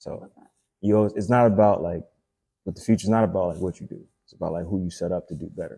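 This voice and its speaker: At a very fast pace broken by long, frequent pauses, a man with a fairly low pitch and dark, mellow tone keeps a fairly even intonation amid big swings in loudness. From Haiti, raised in Florida. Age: 20s. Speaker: actor. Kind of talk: casual chat.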